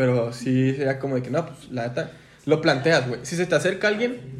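A somewhat breathy, fairly high male voice at a moderate pace, with ordinary pitch variation and audible room echo. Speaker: podcast co-host. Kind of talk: casual chat. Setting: studio.

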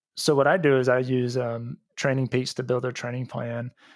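With an American accent, a man speaks in a plain, everyday voice at a medium pitch and a moderate pace. His intonation is fairly even, and the recording is very clean with a silent background. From Texas, Houston suburbs. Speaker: running coach. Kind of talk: casual interview chat.

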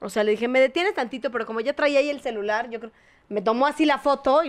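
Speaking at a very fast pace, a woman uses a high pitch and lively intonation. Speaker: podcast co-host. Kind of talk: casual chat.

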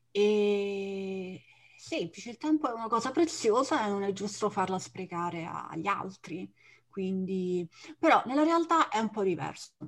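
A woman with an unremarkable speaking voice and a medium pitch talks at a moderate pace with lively intonation against a quiet background. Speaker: Italian teacher, podcast co-host. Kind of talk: casual chat.

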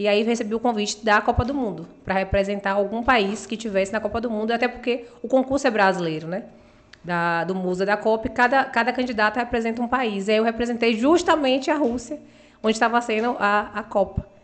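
A woman with an unremarkable speaking voice talks at a fairly quick pace. Her pitch is fairly high. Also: ordinary pitch variation. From Bahia, Brazil (Uruçuca, Itabuna). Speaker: beauty pageant model. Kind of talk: interview.

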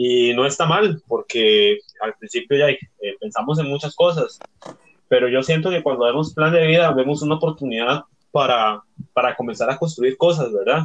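The man has an unremarkable speaking voice and a fairly high pitch. His intonation is lively and his pace moderate. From Costa Rica. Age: 20s. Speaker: youth group member. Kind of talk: casual chat.

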